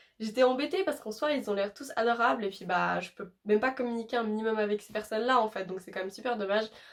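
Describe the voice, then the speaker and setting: Talking at a very fast pace, a woman speaks with a fairly high pitch. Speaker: YouTuber. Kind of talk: casual vlog talk. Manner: hesitant with many fillers.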